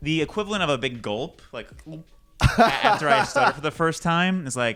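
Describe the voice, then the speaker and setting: With music in the background, a man talks at a moderate pace, his fairly high voice swinging very widely in pitch. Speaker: podcast guest. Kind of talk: podcast interview answer. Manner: casual, comedic storytelling.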